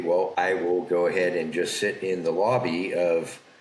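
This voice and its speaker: A man speaks with a very deep, low pitch at a fairly slow pace. Noticeable background noise is present. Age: 60s. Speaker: factoring business owner. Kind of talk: podcast interview storytelling. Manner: conversational.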